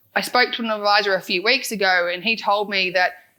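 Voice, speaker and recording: With an Australian accent, a woman talks at a medium pitch in a bright, sharp tone. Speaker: financial adviser and podcast founder. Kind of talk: conference talk. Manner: fast.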